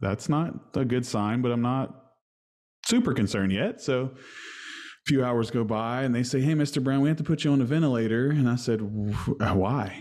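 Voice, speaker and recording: Over a quiet background, a man with an unremarkable speaking voice talks at a moderate pace, his medium pitch showing ordinary pitch variation. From West Virginia. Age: 30s. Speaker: musician. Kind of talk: casual chat.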